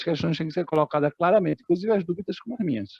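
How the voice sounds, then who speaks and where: The man's intonation is lively. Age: 60s. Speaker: bank employee and activist. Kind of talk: meeting discussion contribution. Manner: halting.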